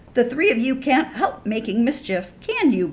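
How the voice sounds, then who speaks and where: Using a put-on character voice, a woman speaks in a high pitch at a moderate pace. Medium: read story.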